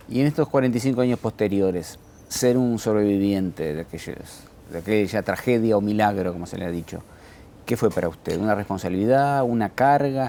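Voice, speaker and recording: The voice has a dark, mellow tone and a fairly quick pace. The recording is very clean, with a silent background. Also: man, fairly low pitch for a man, ordinary pitch variation. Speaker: journalist interviewer. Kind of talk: interview.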